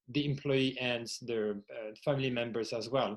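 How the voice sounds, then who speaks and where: Against a quiet background, a man with a French accent speaks at a moderate pace with ordinary pitch variation. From France. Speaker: workplace well-being executive and podcaster. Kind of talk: podcast interview.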